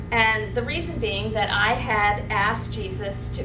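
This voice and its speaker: A woman speaks at a fairly slow pace. Music plays behind her, and the room echo is audible. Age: 60s. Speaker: cancer survivor. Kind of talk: testimony. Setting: support group meeting. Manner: casual, conversational.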